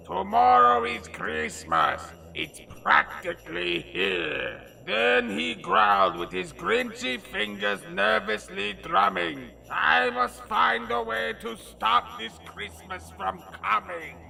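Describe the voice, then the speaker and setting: The speaker uses a put-on character voice at a fairly slow pace. Background noise is clear throughout. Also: man, medium pitch for a man. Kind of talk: comic overacting. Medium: solo performance. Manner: grandiose, bombastic, easily irritated.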